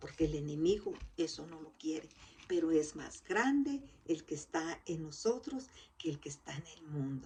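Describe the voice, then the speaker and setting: Somewhat breathy and fairly low in pitch, a woman with a dark, mellow tone speaks at a moderate pace with lively intonation. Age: 60s. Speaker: lay preacher. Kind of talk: sermon.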